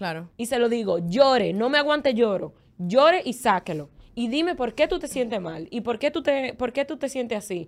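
A woman speaks in a high voice at a moderate pace. Her pitch swings very widely. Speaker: former podcast co-host. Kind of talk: casual chat.

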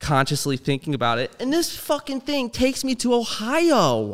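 Using a normal speaking voice, a man with a General American accent talks at a moderate pace with lively intonation on a very clean recording with a silent background. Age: 20s. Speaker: streamer and filmmaker. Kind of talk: casual chat.

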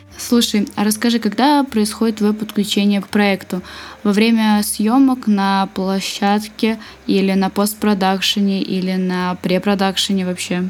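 An ordinary speaking voice from a woman, medium in pitch, at a fairly slow pace with fairly even intonation. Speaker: podcast host. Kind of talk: interview. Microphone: laptop fan noise.

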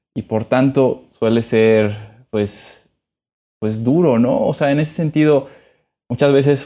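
Very slowly, a man speaks with a dark, mellow tone and ordinary pitch variation. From Mexico. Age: 20s. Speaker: podcast co-host, political adviser. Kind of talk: casual chat.

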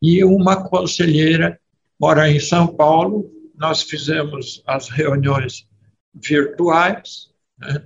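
At a very slow pace, a man speaks at a fairly high pitch with ordinary pitch variation. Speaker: company board chairman. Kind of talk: talk to a business group. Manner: halting.

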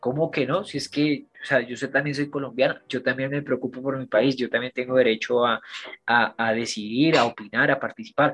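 Delivered at a moderate pace, a plain, everyday voice carries fairly even intonation. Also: man, medium pitch for a man, quiet background. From Colombia, Bogotá. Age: 20s. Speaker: actor. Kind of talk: casual interview.

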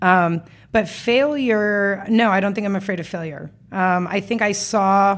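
On a very clean recording with a silent background, a woman with an American accent talks fairly slowly at a medium pitch in an ordinary speaking voice. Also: ordinary pitch variation. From US West, Las Vegas. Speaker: entrepreneur. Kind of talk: casual interview. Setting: studio.

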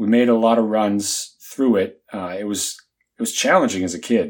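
Against a very clean recording with a silent background, a man speaks at a moderate pace. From US South. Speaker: podcast co-host. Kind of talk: casual chat.

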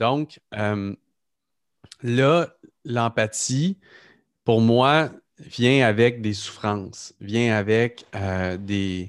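A man at medium pitch speaks very slowly, with long, frequent pauses and ordinary pitch variation. The sound is dry and close with no echo, in a very clean recording over a silent background. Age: 30s. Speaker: podcast host, entrepreneur. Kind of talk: casual interview conversation.

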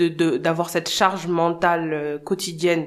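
The voice is a woman's, fairly low in pitch. Her delivery stays monotone and flat. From Senegal. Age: 30s. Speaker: founder of a parenting platform, mother. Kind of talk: casual interview. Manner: hesitant, many fillers.

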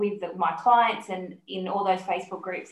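At a moderate pace, a woman with a medium pitch and fairly even intonation speaks amid audible room echo. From Sydney, Australia. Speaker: health podcast host. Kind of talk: interview, casual chat.

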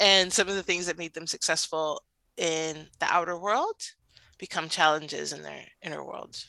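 A woman at a moderate pace with big swings in loudness, very clean recording, silent background, dry, close sound and no echo. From Cuban heritage, Latin American background. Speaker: marriage coach. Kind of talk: casual chat. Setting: podcast recording.

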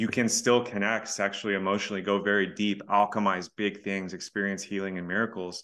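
Fairly quick American-accented male speech, fairly low in pitch, with a bright, sharp tone and a quiet background. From Texas. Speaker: relationship coach. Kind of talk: casual chat.

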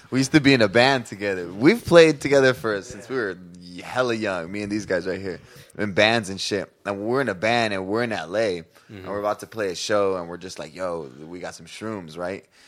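Speaking fairly fast, a man has an ordinary speaking voice, a fairly low pitch, and ordinary pitch variation. His loudness swings widely, on a very clean recording with a silent background. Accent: American. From San Diego area, California. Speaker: musician and DJ. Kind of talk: casual chat.

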